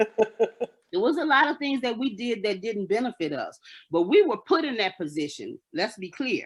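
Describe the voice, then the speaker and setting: This woman's fairly high voice moves in very wide pitch swings. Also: moderate pace. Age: 60s. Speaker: caller in a radio talk show debate. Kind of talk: heated debate. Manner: passionate.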